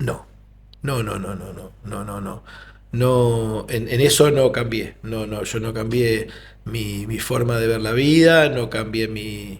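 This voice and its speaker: A man with a medium pitch speaks very slowly and somewhat breathily, his intonation fairly even but his loudness swinging a lot, in audible room echo. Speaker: doctor, disaster survivor. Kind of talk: interview testimony.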